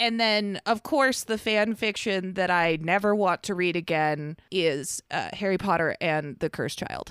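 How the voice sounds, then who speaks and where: A woman with an ordinary speaking voice at medium pitch, ordinary pitch variation, a fairly slow pace and hardly any pauses, on a very clean recording with a silent background and a dry, close sound with no echo. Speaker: fan fiction podcast co-host. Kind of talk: casual chat.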